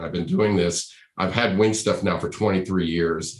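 Room echo can be heard throughout. The intonation is fairly even and the pace fairly slow. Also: man. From US Northeast, Rhode Island. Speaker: podcast host and accessories business owner. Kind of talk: casual interview chat.

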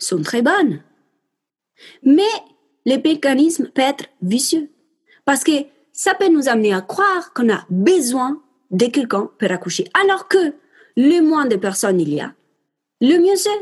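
With an Italian accent, a woman speaks at a high pitch and a fairly slow pace, with very wide pitch swings and long, frequent pauses. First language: Italian (speaking French). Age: 20s. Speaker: perinatal support worker. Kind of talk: interview.

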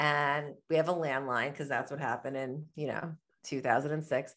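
A woman with an American accent at a moderate pace, against a quiet background. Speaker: entrepreneur and author. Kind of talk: podcast interview.

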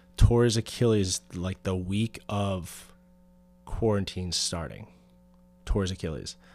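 On a very clean recording with a silent background, a man with an American accent speaks at a fairly slow pace and a fairly low pitch, with ordinary pitch variation. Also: long, frequent pauses. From Pennsylvania. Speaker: personal trainer and former strength coach. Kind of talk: casual interview chat; guided breathing instruction. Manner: halting, many fillers.

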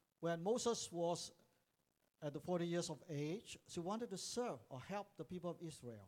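Lively intonation colors this man's high-pitched voice. His pace is moderate. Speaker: preacher. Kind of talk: sermon, English preaching, paused for line-by-line interpretation into Cantonese. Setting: church with live interpreter. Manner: animated, exhortative, call-and-response with congregation.

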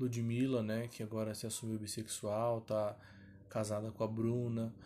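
A man speaks very slowly in a medium-pitched voice with a dark, mellow tone. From São Paulo, Brazil. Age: 20s. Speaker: singer and podcast host. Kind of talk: casual solo podcast monologue.

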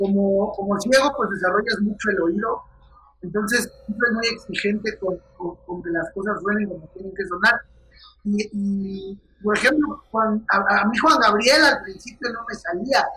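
A man's high, raised, projected voice at a fairly slow pace with ordinary pitch variation, over noticeable background noise. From Mexico, Querétaro. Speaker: comedian. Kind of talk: casual chat. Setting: video call.

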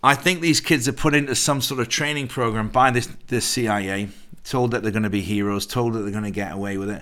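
A man with an English accent talks very fast in a bright, sharp tone at a medium pitch. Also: ordinary pitch variation. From England. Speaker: actor and producer. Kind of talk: casual chat.

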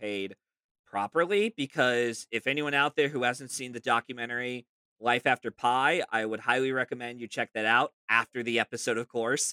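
A man speaks at a fairly quick pace with medium pitch, ordinary pitch variation and a bright, sharp tone, in a very clean recording with a silent background and a dry, close sound with no echo. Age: 30s. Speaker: film podcast guest. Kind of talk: casual chat. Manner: halting, frequent fillers and repeated words.

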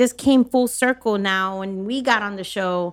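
Captured on a very clean recording with a silent background, a woman with an American accent talks at a moderate pace with ordinary pitch variation. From Miami, Florida. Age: 40s. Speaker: food truck owner. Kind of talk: casual chat.

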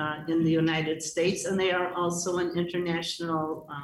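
A woman's flat, monotone voice, fairly low in pitch, at a moderate pace, with a Chicago accent. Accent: Chicago American English. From US Midwest (Chicago). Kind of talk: radio interview. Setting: video call into radio studio.

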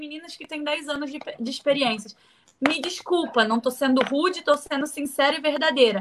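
A woman's high voice with ordinary pitch variation and big swings in loudness. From Brazil, Rio de Janeiro. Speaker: professional wrestler. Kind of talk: interview. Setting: video call.

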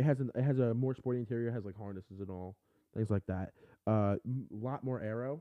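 Fairly quick, medium-pitched speech from a man, its pitch varying in an ordinary way. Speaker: livestream host. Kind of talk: casual chat. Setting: live video stream. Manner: fast talker.

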